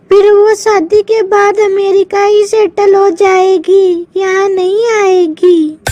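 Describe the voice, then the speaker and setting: A woman does a cartoonish character voice at an extremely high pitch, speaking very slowly with hardly any pauses. Her loudness stays very even and her intonation is monotone and flat. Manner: calls everyone "beta".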